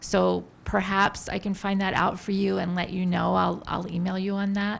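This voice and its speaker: Soft-spoken and at a moderate pace, a woman talks in a flat monotone at a medium pitch. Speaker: government public affairs specialist. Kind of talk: public briefing.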